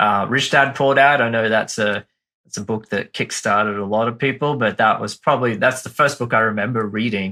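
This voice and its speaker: In a very clean recording with a silent background, a man with an Australian accent and a medium pitch talks at a fairly quick pace in a bright, sharp tone. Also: fairly even intonation. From Australia, Brisbane. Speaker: marketing firm founder, former teacher. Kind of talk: podcast interview.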